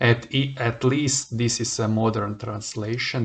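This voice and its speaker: A man speaks very slowly with a non-native accent. His pitch is fairly low and his intonation fairly even. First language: not English. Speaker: Bible reader. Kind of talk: reading aloud; casual chat. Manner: halting.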